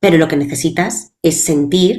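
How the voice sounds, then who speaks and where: A woman with an ordinary speaking voice talks at a fairly slow pace. Her pitch is fairly low, with ordinary pitch variation. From Spain, Valencia. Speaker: public speaking coach. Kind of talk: interview.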